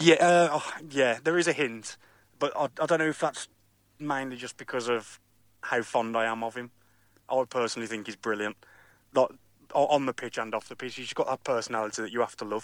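A man speaks at a medium pitch and a fairly quick pace, with ordinary pitch variation and long, frequent pauses. The recording is very clean with a silent background, dry and close with no echo. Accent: West Midlands. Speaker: football fan. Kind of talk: interview. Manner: halting.

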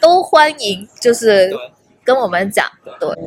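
A woman's fairly high-pitched voice with a slight Hong Kong accent at a moderate pace. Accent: barely any Hong Kong accent in Mandarin. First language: Cantonese (speaking Chinese). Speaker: tech community organizer. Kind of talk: casual chat. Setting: hotel lobby.

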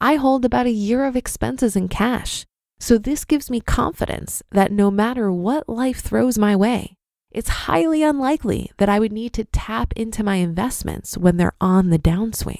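With a plain, everyday voice, a woman talks at a moderate pace in a fairly high pitch with lively intonation. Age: 30s. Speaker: podcast host. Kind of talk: commentary.

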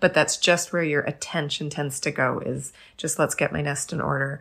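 With a very deep, low pitch and vocal fry, a woman talks at a fairly quick pace in a monotone, flat intonation. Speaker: podcast host. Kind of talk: casual chat.

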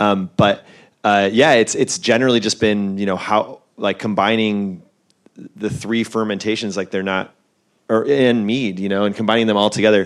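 A man with an ordinary speaking voice talks at a fairly low pitch and a moderate pace with fairly even intonation. The recording is very clean, with a silent background. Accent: American. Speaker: brewer. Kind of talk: live panel discussion. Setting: festival stage with audience. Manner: casual, filler-heavy.

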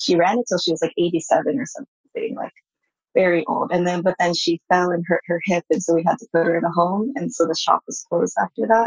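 A woman with a Californian accent, a fairly low pitch and ordinary pitch variation at a fairly quick pace, in a dry, close sound with no echo. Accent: Californian American English. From US, San Francisco Bay Area. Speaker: artist. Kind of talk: interview.

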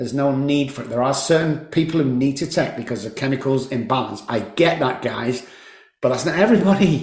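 Audible room echo surrounds a man with a fairly high pitch who talks at a fairly quick pace with ordinary pitch variation. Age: 60s. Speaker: addiction psychologist and recovery coach. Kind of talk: casual interview. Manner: animated.

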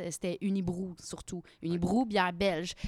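Speaking in a Quebec accent, the voice sounds dry and close with no echo. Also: woman. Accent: Québécois French. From Quebec, Victoriaville. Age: 30s. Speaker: actress and craft beer blogger. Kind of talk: casual chat.

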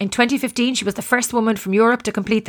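The recording is very clean with a silent background, carrying a woman's fairly high-pitched voice. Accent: Irish. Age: 40s. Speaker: sports podcast host. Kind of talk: casual interview; scripted introduction.

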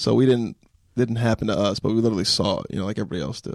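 A man talks at a very fast pace with medium pitch and ordinary pitch variation. The sound is dry and close, with no echo. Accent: American. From California, high desert. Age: 20s. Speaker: comedian. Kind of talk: casual chat.

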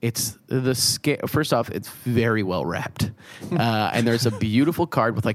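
A natural reading voice, pitch varying in an ordinary way

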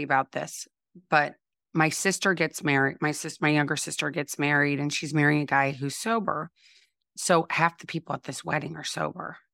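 A woman with an American accent speaks at a fairly quick pace in a very deep, low voice with a bright, sharp tone and fairly even intonation. The recording is very clean with a silent background and a dry, close sound with no echo. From US Midwest (St. Louis, Missouri). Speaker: recovery and wellness coach, podcast host. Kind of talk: casual interview chat.

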